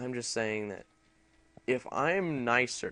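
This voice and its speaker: A man mumbles with ordinary pitch variation. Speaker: gaming youtuber. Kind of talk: casual chat. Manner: mumbling; halting.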